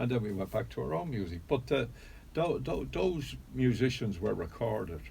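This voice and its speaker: This man has a fairly low pitch, a dark, mellow tone, vocal fry and a Dublin accent. He speaks at a moderate pace with very wide pitch swings, and the room echo is audible. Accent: Irish, Dublin. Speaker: pub owner and traditional music figure. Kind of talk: radio interview.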